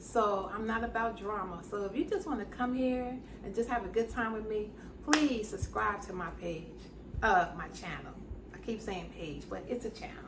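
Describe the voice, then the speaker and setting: A woman with a fairly high pitch speaks at a moderate pace in a warm, animated tone with ordinary pitch variation. Audible room echo and noticeable background noise surround her voice. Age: 60s. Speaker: YouTube lifestyle host. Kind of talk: casual interview wrap-up.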